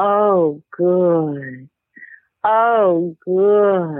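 Putting on a character voice, a woman speaks in a guttural way at a medium pitch.

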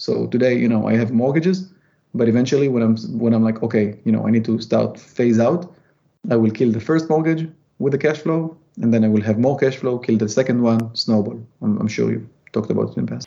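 A man with an Israeli accent, dark and mellow in tone, at a fairly quick pace. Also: medium pitch for a man, ordinary pitch variation. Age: 30s. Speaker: real estate investor and former tech engineer. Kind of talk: casual interview.

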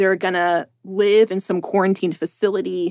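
Her medium-pitched voice is a plain, everyday voice moving at a fairly quick pace. This woman's recording has a dry, close sound with no echo. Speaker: reporter. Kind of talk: casual interview conversation. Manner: rambling, heavy use of filler words.

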